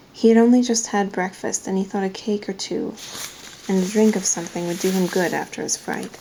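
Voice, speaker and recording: The woman is soft-spoken and keeps her intonation fairly even. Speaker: ASMR reader. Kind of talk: read-aloud of a novel. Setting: camera microphone.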